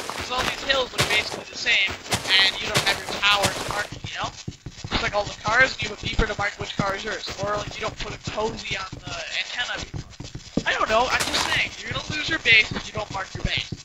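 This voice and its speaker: Over noticeable background noise, a man with a high voice talks very fast with fairly even intonation. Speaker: gaming video commentator. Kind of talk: post-recorded gameplay commentary. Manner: halting, stuttering. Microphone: cheap quiet mic, heavy noise reduction and amplification.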